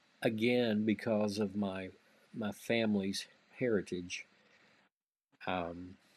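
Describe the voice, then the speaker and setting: With a Southern US accent, a man of fairly low pitch speaks at a very slow pace in a monotone, flat intonation. Long, frequent pauses break up his speech. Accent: Southern US (Georgia). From US South, Georgia (Greensboro). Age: 50s. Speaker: music magazine executive. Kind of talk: interview.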